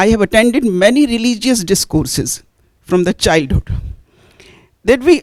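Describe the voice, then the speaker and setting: A woman's fairly high voice in an Indian accent, with very wide pitch swings and a dry, close sound with no echo. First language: Hindi. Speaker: audience member asking a question; Hindi teacher. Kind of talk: audience question at panel discussion.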